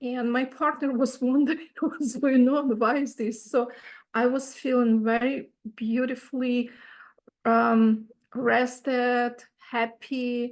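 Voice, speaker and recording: A woman's high-pitched voice with a non-native accent, very slow and monotone, with flat intonation. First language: not English. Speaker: retreat participant asking a question. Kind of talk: Q&A question.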